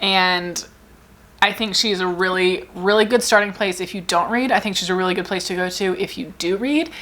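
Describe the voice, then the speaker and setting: A woman talks at a fairly quick pace in an animated tone with ordinary pitch variation. The recording is very clean, with a silent background. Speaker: book content creator. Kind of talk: casual chat. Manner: fast.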